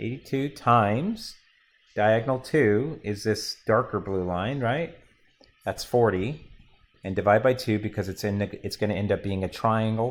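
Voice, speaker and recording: In a plain, everyday voice, a man speaks at a medium pitch and moderate pace with ordinary pitch variation. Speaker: math teacher. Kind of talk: classroom lecture.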